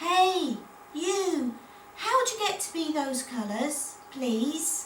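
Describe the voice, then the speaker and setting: A woman does a squeaky put-on character voice at an extremely high pitch, speaking very slowly over clear background noise. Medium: read story.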